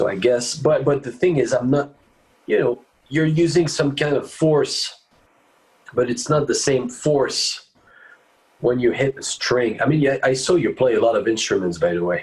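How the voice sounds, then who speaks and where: This man talks with a French accent at a moderate pace. He leaves long, frequent pauses. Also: fairly high pitch for a man, ordinary pitch variation. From France, Paris. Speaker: bass player. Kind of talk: interview. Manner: halting.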